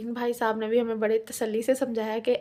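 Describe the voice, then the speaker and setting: At a moderate pace, a woman with a fairly high pitch speaks in a monotone, flat intonation on a very clean recording with a silent background. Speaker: family vlogger. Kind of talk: vlog voice-over narration.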